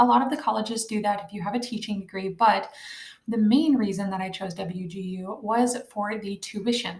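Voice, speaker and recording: Soft-spoken and at medium pitch, a woman talks with fairly even intonation. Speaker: online college student and homeschooling mom. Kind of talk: casual tutorial vlog. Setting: at home at night. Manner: quiet, soft-spoken.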